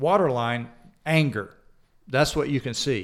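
A man with a slight Southern US accent speaks at a medium pitch with lively intonation. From Georgia, US South. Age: 60s. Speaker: chaplain and church elder. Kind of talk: casual interview, personal testimony. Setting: studio.

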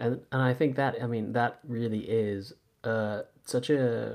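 A man talks in a Californian accent at a medium pitch. His pace is very slow and his intonation fairly even. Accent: Californian American. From US West Coast, Santa Monica. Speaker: yoga teacher and podcast host. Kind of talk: casual interview chat. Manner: halting.

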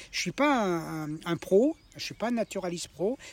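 Male speech of ordinary pitch variation amid noticeable background noise. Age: 70s. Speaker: retired vocational trainer. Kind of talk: life story interview. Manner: halting, many repetitions.

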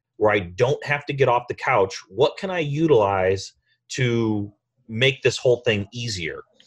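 Recorded very cleanly against a silent background, a man with an American accent speaks at a fairly slow pace in a medium-pitched, somewhat breathy voice with lively intonation. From US rural farming town. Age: 40s. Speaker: real estate investor. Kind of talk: interview.

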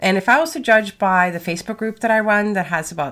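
A woman talks at a fairly quick pace. Her tone is fairly bright.

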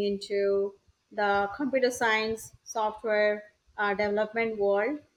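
Against a quiet background, a woman with an Indian accent and a fairly high pitch speaks at a fairly slow pace. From India, Odisha. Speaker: entrepreneur. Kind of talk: interview.

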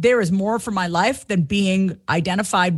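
Someone with an American accent speaks at a moderate pace with lively intonation and a somewhat breathy sound against a quiet background. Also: woman. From Long Island, New York. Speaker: confidence coach and comedian. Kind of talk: interview, personal testimony.

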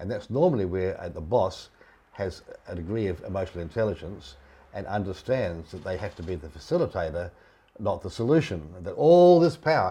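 Somewhat breathy and dark, mellow in tone, a man with a fairly low pitch talks at a fairly quick pace, with very wide pitch swings and big swings in loudness. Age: 70s. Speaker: leadership consultant. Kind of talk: interview conversation.

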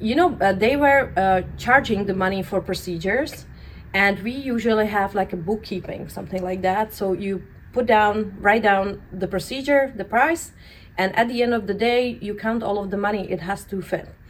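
This woman has a Central European accent and a medium pitch. She keeps a moderate pace with ordinary pitch variation. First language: non-English (European). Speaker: permanent makeup artist and educator. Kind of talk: interview.

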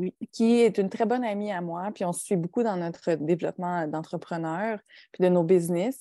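A woman with a dark, mellow tone, recorded with a dry, close sound and no echo. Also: medium pitch for a woman, ordinary pitch variation, moderate pace. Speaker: podcast co-host and entrepreneur. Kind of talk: casual chat. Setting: video call. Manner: soft-spoken.

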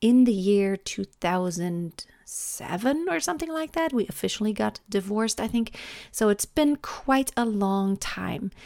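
Lively intonation from a woman at a medium pitch, fairly slow in pace, in a dry, close sound with no echo. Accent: German. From Germany. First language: German. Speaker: vocal coach and podcast host. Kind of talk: solo podcast monologue. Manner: stumbling over words.

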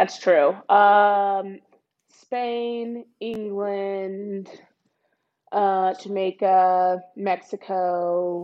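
In an American accent, the speech comes at a very slow pace with monotone, flat intonation. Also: woman, medium pitch for a woman. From Texas, Dallas. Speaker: professional soccer player. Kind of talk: casual interview chat.

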